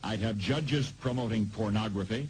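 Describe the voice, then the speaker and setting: A man talks at a moderate pace in a dramatic, somewhat breathy tone, with ordinary pitch variation. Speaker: radio broadcaster. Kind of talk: radio commentary monologue. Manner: grave, dramatic.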